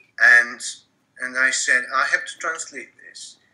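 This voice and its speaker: A man with a Macedonian accent speaks at a fairly slow pace. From North Macedonia. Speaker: literary translator. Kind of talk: casual interview conversation. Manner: halting, many repetitions.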